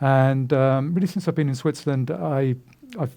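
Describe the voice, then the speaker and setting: A man with a British accent speaks at a very fast pace in a dark, mellow, medium-pitched voice with fairly even intonation. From UK. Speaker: recruiter and career speaker. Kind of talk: lecture. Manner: halting, many fillers.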